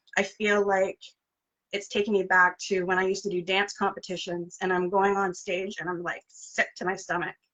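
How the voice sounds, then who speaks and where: Shaky, flat monotone at a moderate pace. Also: woman, medium pitch for a woman. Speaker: interview host. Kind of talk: casual interview chat. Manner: shaky, nervous voice.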